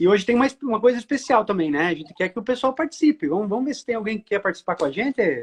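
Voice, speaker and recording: Talking at a very fast pace with hardly any pauses, a man with a high pitch makes very wide pitch swings in a dry, close sound with no echo. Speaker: live stream host. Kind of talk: casual live stream chat.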